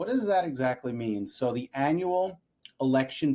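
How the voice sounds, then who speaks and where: In a very clean recording with a silent background, a man talks at a fairly slow pace with a fairly high pitch, a dark, mellow tone and ordinary pitch variation. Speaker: insurance agent. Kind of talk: educational video talk. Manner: casual, chatty.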